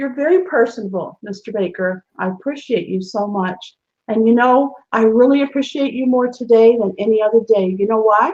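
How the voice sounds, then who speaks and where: Her voice is fairly high with ordinary pitch variation. The woman keeps a moderate pace. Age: 60s. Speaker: show host. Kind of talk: casual chat. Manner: animated.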